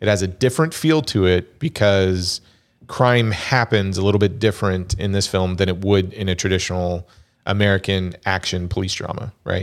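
This man has a normal speaking voice at a fairly low pitch. He talks at a moderate pace with ordinary pitch variation. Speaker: podcast host. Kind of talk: casual chat.

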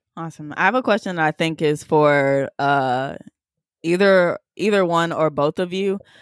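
A plain, everyday voice speaks at a moderate pace with ordinary pitch variation. The recording is very clean with a silent background and a dry, close sound with no echo. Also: woman, fairly low pitch for a woman. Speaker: coding teacher and juice bar founder. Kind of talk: casual chat.

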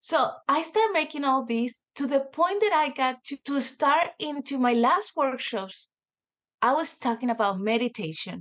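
A woman with a Spanish accent and very wide pitch swings over a quiet background. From Mexico, Mexico City. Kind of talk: casual interview chat.

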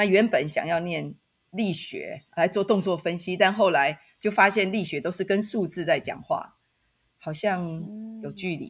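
On a very clean recording with a silent background, a woman at medium pitch talks at a fairly slow pace with ordinary pitch variation in a plain, everyday voice. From Taiwan, Taitung. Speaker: university professor. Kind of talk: podcast interview.

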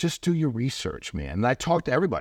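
With vocal fry and a very fast pace, a man speaks in a dry, close recording with no echo and a silent background that is very clean. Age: 50s. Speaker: entrepreneur. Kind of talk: casual chat. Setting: studio.

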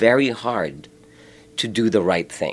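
A man speaks at a fairly slow pace with vocal fry. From Philippines. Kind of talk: interview. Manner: halting.

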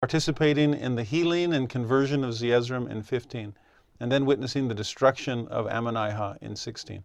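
A man with a plain, everyday voice and medium pitch speaks at a fairly quick pace. The background is quiet. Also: ordinary pitch variation. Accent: American. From US West (Southern California). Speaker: religion teacher. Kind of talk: scripture lesson.

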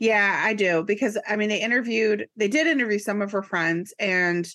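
Against a quiet background, a woman speaks at a moderate pace in a normal speaking voice with a medium pitch. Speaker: podcast co-host. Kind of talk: casual chat. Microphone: new microphone and headphones.

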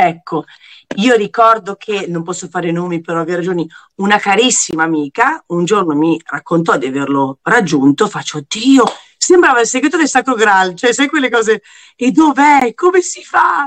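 A woman's medium-pitched voice at a moderate pace, with very wide pitch swings and a dry, close sound with no echo. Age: 40s. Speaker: TV presenter. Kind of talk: casual chat.

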